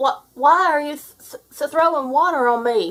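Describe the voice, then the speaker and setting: A woman performs a put-on character voice. Her pitch is high. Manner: stuttering, shocked.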